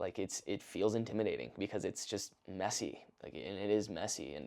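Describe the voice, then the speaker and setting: The voice has a dark, mellow tone, vocal fry and lively intonation. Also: man, fairly low pitch for a man. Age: 20s. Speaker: content creator / vlogger. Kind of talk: casual monologue. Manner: fast; casual, unscripted.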